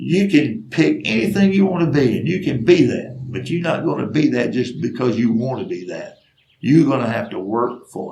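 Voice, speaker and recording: With a Southern US accent, a man speaks at a moderate pace and medium pitch. His pitch swings very widely, and his loudness shifts a lot. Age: 60s. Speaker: storyteller. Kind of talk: storytelling monologue. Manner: earnest, emphatic.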